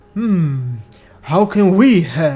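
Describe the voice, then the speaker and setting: Using a put-on character voice, a man pitches himself high. His pitch swings very widely. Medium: fan dub. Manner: grand, fatherly.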